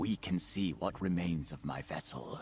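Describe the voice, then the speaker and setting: Using a put-on character voice, a man speaks at a very deep, low pitch and a moderate pace. Clear background noise can be heard. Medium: video game. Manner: earnest.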